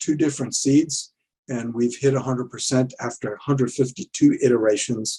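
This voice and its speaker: A man's somewhat breathy voice, medium in pitch with a dark, mellow tone, fairly even intonation and a moderate pace. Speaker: conference presenter, verification consultant. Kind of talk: technical conference presentation; Q&A answers. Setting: virtual conference. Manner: halting, many fillers; quiet.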